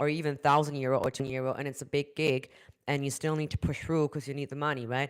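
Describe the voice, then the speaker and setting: A woman with a German accent speaks at a very deep, low pitch in a flat monotone. The recording is very clean, with a silent background. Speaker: vocal coach. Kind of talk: live stream talk. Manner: halting.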